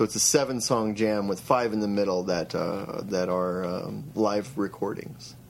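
Music in the background behind a man with an American accent, fairly low-pitched, fairly slow yet with hardly any pauses and lively intonation. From Eastern Idaho. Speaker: musician. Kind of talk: interview. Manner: halting.

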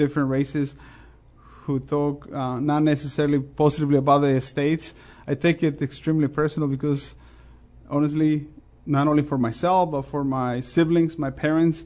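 In a Mexican accent, a man speaks at a moderate pace. His fairly high pitch stays monotone and flat. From Mexico. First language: Spanish. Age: 40s. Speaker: restaurant owner. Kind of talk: interview. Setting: studio.

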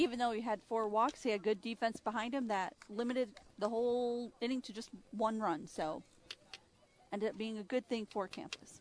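Pitch varies in an ordinary way, and the delivery moves at a moderate pace. It is a normal speaking voice. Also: woman, fairly high pitch for a woman. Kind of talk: color commentary alongside play-by-play announcer. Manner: conversational, measured analyst, offering observations between pitches.

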